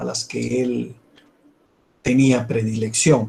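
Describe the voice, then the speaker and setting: A man's somewhat breathy voice, dark and mellow in tone, at a very slow pace. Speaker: university law professor. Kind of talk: lecture.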